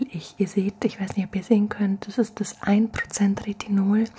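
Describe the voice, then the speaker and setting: Over light background noise, a soft-spoken woman talks in a relaxed, gentle tone at a medium pitch, her intonation monotone and flat. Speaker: ASMR creator. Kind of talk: ASMR soft-spoken skincare routine demo. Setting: home, at night, filmed on camera. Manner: soft-spoken, gentle, slow and soothing; relaxed, chatty, intimate. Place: home room. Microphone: studio mic.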